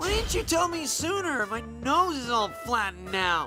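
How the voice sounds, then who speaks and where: Clear music plays behind a high, nasal, put-on character voice that moves at a moderate pace. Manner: complaining.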